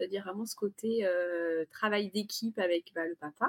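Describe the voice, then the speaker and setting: The woman's voice is somewhat breathy, with ordinary pitch variation. Her recording sounds dry and close, without echo. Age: 40s. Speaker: parent of three. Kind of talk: testimony. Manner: hesitant.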